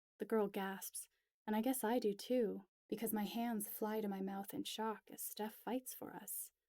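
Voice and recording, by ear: Against a quiet background, someone is reading aloud in a natural voice with fairly even intonation.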